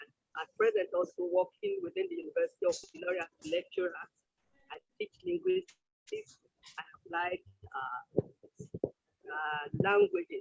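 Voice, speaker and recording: A man with a Nigerian accent speaks with big swings in loudness and long, frequent pauses. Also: moderate pace. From Nigeria, Yoruba-speaking. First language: Yoruba. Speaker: linguistics lecturer. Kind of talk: self-introduction at online conference.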